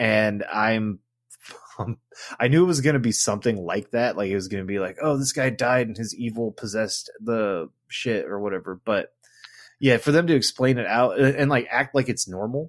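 A plain, everyday voice talks at a moderate pace. Its pitch varies in an ordinary way. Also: man, medium pitch for a man. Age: 40s. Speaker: podcast host. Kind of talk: scripted narration; casual chat.

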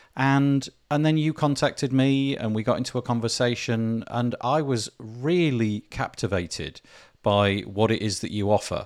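A man with a British accent at medium pitch, ordinary pitch variation, in a very clean recording with a silent background. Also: moderate pace. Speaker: podcast host. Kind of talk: interview.

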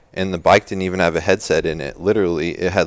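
Very deep, low-pitched male voice, monotone with flat intonation, at a very fast pace. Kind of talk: casual interview chat. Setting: studio. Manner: quiet, soft-spoken.

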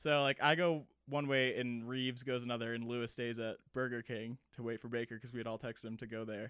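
A man's medium-pitched, monotone voice with flat intonation, at a fairly quick pace with hardly any pauses, dry and close with no echo, on a very clean recording with a silent background. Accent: American. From Massachusetts (Cape Cod). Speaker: army veteran and ski shop worker. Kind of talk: casual storytelling. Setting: home recording. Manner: casual, filler-heavy.

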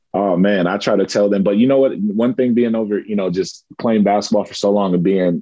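The pace is fairly quick, in a normal speaking voice. Intonation stays fairly even. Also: man. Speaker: professional basketball player. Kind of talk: casual interview.

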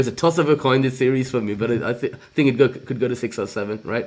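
A man talks at a very fast pace. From India. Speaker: basketball podcast co-host. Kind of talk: casual podcast chat.

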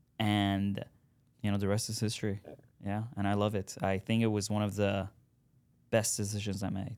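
A man with a fairly low pitch talks at a moderate pace in a monotone, flat intonation, leaving long, frequent pauses. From Iran. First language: Farsi. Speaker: real estate buyer's agent. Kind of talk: casual interview chat.

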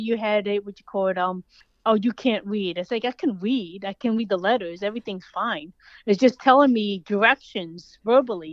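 A woman talks with an American accent and ordinary pitch variation. She has an ordinary speaking voice. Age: 40s. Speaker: author, pet sitter and dog trainer. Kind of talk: interview. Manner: fast, run-on.

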